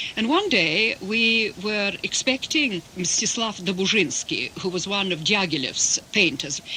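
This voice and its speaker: A woman speaks very slowly in a Russian accent, at a medium pitch with lively intonation. Noticeable background noise runs beneath her. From England, Russian émigré family. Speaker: interpreter. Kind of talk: interview.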